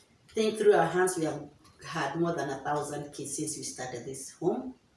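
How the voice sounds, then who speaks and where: A woman with a very deep, low pitch speaks with lively intonation. Room echo and noticeable background noise are audible. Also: moderate pace. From Kenya. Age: 60s. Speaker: children's home founder. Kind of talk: interview. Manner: halting.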